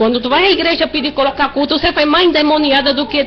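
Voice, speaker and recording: A woman speaking at a fairly quick pace amid noticeable background noise. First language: Spanish (speaking Portuguese). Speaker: church member. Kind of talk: testimony. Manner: halting.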